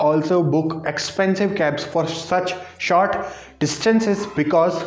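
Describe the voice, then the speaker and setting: A man with an Indian accent speaks fairly slowly at a high pitch, with fairly even intonation and audible room echo. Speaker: travel vlogger; vlogger. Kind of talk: face-cam vlog monologue; casual informative vlog chat. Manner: halting. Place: home room. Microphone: lapel.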